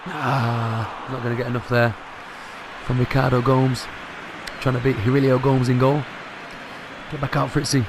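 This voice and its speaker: A man speaks quietly at a moderate pace and a medium pitch, with long, frequent pauses and noticeable background noise. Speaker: gaming youtuber. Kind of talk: live gameplay commentary. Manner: animated.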